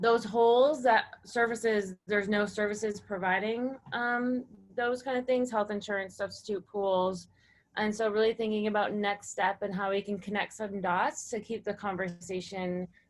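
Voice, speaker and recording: A woman in a normal speaking voice talks at medium pitch and a moderate pace, her intonation fairly even. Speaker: cooperative developer. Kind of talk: webinar breakout summary.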